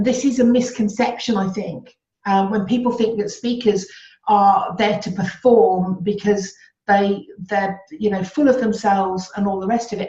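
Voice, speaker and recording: A woman with a Birmingham accent speaks at a moderate pace in a medium pitch, her voice somewhat breathy with a dark, mellow tone and fairly even intonation. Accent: Birmingham (Brummie). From Birmingham, England. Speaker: public speaker and communication expert. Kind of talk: interview.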